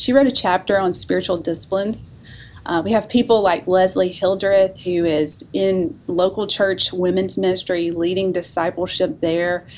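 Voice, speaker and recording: A woman speaks in a Southern US accent at a medium pitch. Her pace is moderate and her pitch variation ordinary. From North Alabama. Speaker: seminary professor of women's ministry. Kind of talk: casual interview.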